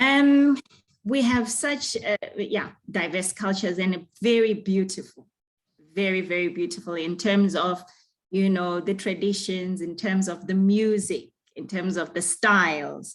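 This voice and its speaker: A woman speaks with a Zimbabwean accent. Her pace is fairly slow. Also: medium pitch for a woman, ordinary pitch variation. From Zimbabwe, Bulawayo. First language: Ndebele. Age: young. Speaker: singer. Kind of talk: interview. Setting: video call.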